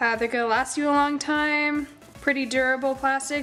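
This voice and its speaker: A high-pitched woman at a moderate pace with fairly even intonation, music in the background. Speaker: makeup artist. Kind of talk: casual tutorial talk to camera.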